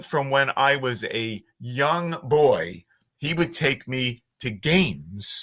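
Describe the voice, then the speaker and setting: Very slow speech in a Philadelphia accent, with a bright, sharp tone, very wide pitch swings, and a very clean recording over a silent background. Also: man. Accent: Philly. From Northeast Philadelphia, US. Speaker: voiceover artist. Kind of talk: podcast interview.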